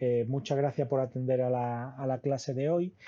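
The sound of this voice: Speaking at a moderate pace and a medium pitch, a man has a dark, mellow tone with little pitch movement.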